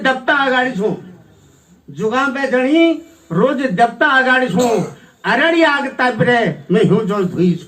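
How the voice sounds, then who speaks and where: This man talks with lively intonation at an extremely high pitch. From Almora district, Kumaon, Uttarakhand, India. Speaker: Kumaoni folk singer and poet. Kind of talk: poetry reading. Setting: auditorium stage. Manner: simple, unpretentious.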